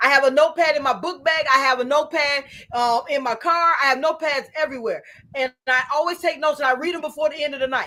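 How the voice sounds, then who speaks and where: A woman speaks at a very fast pace in a raised, projected voice. Her pitch is high and her intonation fairly even. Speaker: author and podcast guest. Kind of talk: casual interview chat. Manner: repetitive, halting starts.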